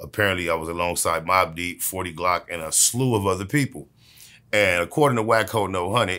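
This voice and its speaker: Against a quiet background, a man speaks with a very deep, low pitch. His tone is bright and sharp. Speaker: interviewee. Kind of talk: interview answer. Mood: dismissive, sarcastic storytelling. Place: home room.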